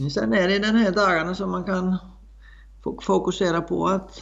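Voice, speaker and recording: Spoken at a moderate pace, this voice carries an Icelandic accent. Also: man. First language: Icelandic (speaking Swedish). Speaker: horse trainer and rider. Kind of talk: interview. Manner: halting, many fillers.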